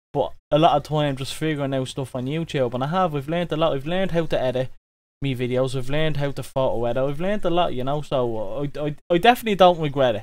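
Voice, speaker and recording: A man with a fairly high pitch speaks at a very fast pace with ordinary pitch variation. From Ireland. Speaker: YouTube vlogger. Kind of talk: interview.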